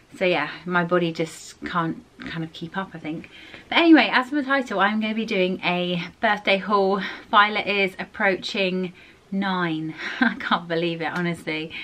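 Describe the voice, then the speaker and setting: A woman's medium-pitched voice with a southern English accent, ordinary pitch variation and a moderate pace. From southern England. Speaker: family vlogger. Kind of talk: casual vlog chat. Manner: chatty, some hesitation. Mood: chatty, a little under the weather. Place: home room. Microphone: phone near.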